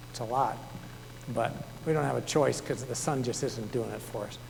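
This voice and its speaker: Audible room echo surrounds a man who speaks very fast with ordinary pitch variation. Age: 60s. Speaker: author and naturalist. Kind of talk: public talk. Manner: conversational.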